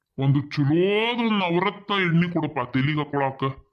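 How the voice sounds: A man puts on a cartoonish character voice at a fairly high pitch, speaking fairly slowly with ordinary pitch variation.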